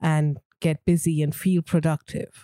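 On a very clean recording with a silent background, a woman's dark, mellow voice comes across with a dry, close sound and no echo. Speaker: podcast co-host and editor. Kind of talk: casual chat.

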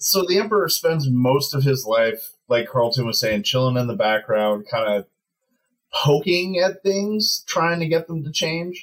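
A man speaks somewhat breathily at a fairly slow pace, his pitch swinging very widely. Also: fairly high pitch for a man. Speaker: archaeologist. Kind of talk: casual chat.

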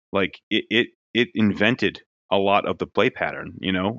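A man with an American accent talks at a fairly quick pace in a very deep, low pitch. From New Jersey. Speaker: toy designer.

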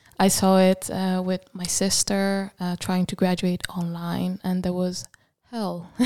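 Speaking at a fairly slow pace, a woman with a medium pitch and a dark, mellow tone comes through in a very clean recording with a silent background and a dry, close sound with no echo. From Italy. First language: Italian. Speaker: graphic design student. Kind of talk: casual chat. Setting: studio.

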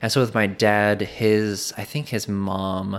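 A man talks with a normal speaking voice, fairly low in pitch and fairly even in intonation. The recording is very clean, with a silent background. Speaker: podcast creator, former Bible college student. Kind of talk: casual interview chat. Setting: in person in host's home.

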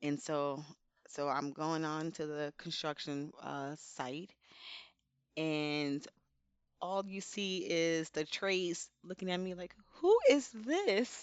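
A woman with an American accent speaks at a very slow pace, with long, frequent pauses, a fairly low pitch and ordinary pitch variation. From New Jersey, Elizabeth. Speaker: safety professional. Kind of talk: casual interview.

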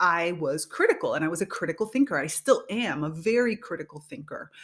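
Spoken at a moderate pace with a Spanish accent, the clip is a very clean recording with a silent background. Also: woman. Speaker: podcast host and leadership coach. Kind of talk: solo podcast monologue.

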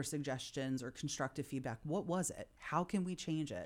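In a very clean recording with a silent background, a woman speaks with an American accent. Her pitch is very deep and low, with ordinary variation. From Philadelphia. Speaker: managing director of a co-working space. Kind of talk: casual interview chat.

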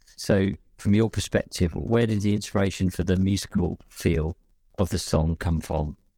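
Speaking in a London accent at a moderate pace, a man with a very deep, low pitch and a dark, mellow tone shows ordinary pitch variation, recorded with a dry, close sound and no echo. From West London. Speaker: singer and musician. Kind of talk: casual chat.

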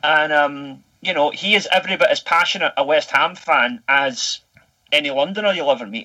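With a Scottish accent and a bright, sharp tone, a man speaks at a moderate pace and fairly high pitch, showing ordinary pitch variation. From Scotland. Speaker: English teacher living in Japan. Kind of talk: casual chat.

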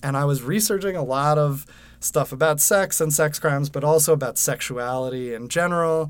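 A man speaks at a moderate pace with an American accent and ordinary pitch variation, in a normal speaking voice. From Westchester, New York. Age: 30s. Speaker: podcast host and TV writer. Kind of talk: casual conversation. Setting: recording studio booth.

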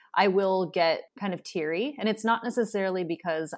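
A woman talks in an ordinary speaking voice with ordinary pitch variation. The recording is very clean, the background silent. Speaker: podcast host. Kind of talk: interview conversation.

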